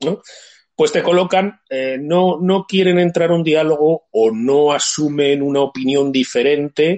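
A man's ordinary speaking voice, fairly high in pitch, with lively intonation at a fairly slow pace, in a dry, close sound with no echo. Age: 50s. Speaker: livestream host. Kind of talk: casual chat.

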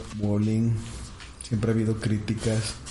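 Noticeable background noise and audible room echo around a man speaking at medium pitch and a moderate pace. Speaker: podcast co-host. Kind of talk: casual chat.

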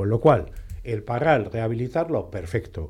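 A man speaks fairly slowly at a medium pitch, his tone dark and mellow and somewhat breathy. His pitch swings very widely. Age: 60s. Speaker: politician and radio panelist. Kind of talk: radio roundtable discussion. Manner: halting, repeats words.

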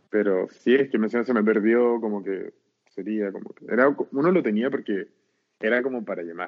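At a fairly quick pace, a man talks with a fairly low pitch and fairly even intonation. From Chile, Arica. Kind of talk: casual chat.

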